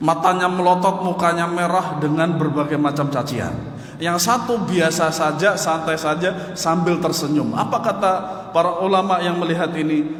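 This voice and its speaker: A man with a high pitch speaks at a moderate pace with fairly even intonation and very even loudness. Audible room echo and noticeable background noise surround him. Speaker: Islamic religious teacher. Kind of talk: religious lecture.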